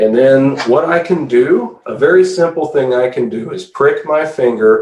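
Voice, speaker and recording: A man speaks at a fairly slow pace in an unremarkable speaking voice. His pitch is fairly high, with lively intonation. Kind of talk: product demonstration tutorial.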